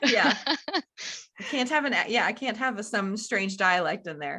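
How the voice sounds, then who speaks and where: A woman's bright, sharp voice, fairly high in pitch, moves in very wide pitch swings. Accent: Southern US. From US South. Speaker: podcast host. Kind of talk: podcast interview.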